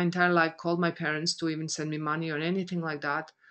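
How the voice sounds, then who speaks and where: With a Croatian accent, a woman talks at a fairly quick pace in a fairly low pitch and a monotone, flat intonation. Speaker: business coach. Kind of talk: motivational webinar talk. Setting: online conference call. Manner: halting.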